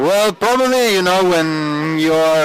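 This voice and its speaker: A man speaks at a fairly slow pace with very wide pitch swings. Noticeable background noise can be heard. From Italy, Turin. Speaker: actor. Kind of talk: interview. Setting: party at a film festival.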